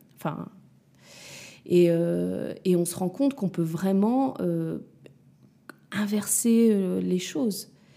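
Very slow female speech broken by long, frequent pauses. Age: 30s. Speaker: mother of two. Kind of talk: casual chat. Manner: halting.

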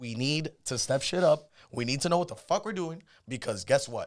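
A normal speaking voice moves at a fairly quick pace with lively intonation. The recording is very clean, with a silent background. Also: man. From Cuban-American, Miami. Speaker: podcast co-host. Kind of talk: casual chat. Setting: studio.

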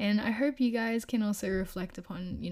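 On a very clean recording with a silent background, a woman speaks at a fairly slow pace and medium pitch, somewhat breathy, with fairly even intonation. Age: 20s. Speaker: podcast host. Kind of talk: casual solo talk.

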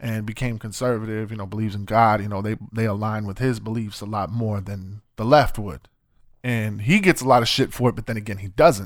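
An ordinary speaking voice from a man, fairly low-pitched and fairly quick, with fairly even intonation, big swings in loudness and a very clean recording over a silent background. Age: 30s. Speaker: podcast host. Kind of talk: casual chat.

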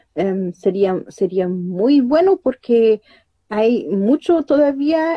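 A woman with a fairly high pitch talks at a very slow pace. She uses lively intonation. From Germany. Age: 30s. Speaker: researcher and language teacher. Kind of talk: interview. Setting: live stream. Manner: halting.

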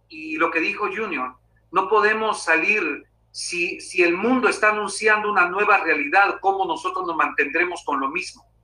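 The man's high voice rises and falls in a lively way as he talks at a moderate speed. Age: 50s. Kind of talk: interview.

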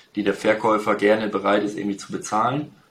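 Using a plain, everyday voice, a man talks with fairly even intonation. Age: 30s. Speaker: real estate agent. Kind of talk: interview.

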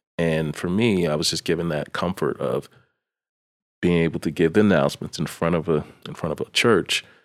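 With an American accent, a man speaks at a very deep, low pitch with fairly even intonation. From Maryland, US. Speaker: operations manager. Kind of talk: casual chat.

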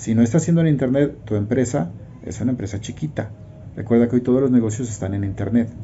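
A man's medium-pitched voice at a very fast pace. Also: ordinary pitch variation. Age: 50s. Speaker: network marketing promoter. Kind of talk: testimony.

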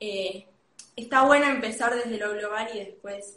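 Woman's voice at a fairly slow pace, ordinary pitch variation, with audible room echo. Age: 20s. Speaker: industrial design student. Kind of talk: interview.

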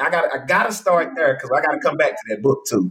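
Vocal fry runs through a man's animated, fairly high voice with an American accent. His pitch swings very widely. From Texas. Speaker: podcast host and speaker. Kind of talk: casual interview. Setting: video call.

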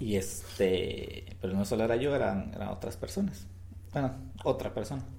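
A man speaks at a moderate pace with a fairly low pitch and ordinary pitch variation. His tone is dark and mellow, somewhat breathy, with audible room echo. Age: 30s. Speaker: podcast co-host. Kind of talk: casual chat.

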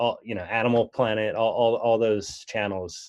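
A man with an unremarkable speaking voice talks at medium pitch. His intonation is fairly even, over a quiet background. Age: 30s. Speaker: golf magazine editor. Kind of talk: casual chat.

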